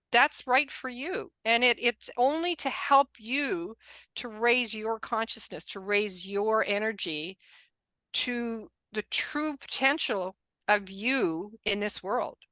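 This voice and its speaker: A woman's fairly high, bright and sharp voice at a very slow pace, with lively intonation, a quiet background, and a dry, close sound with no echo. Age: 60s. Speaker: spiritual life coach. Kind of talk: interview. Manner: animated.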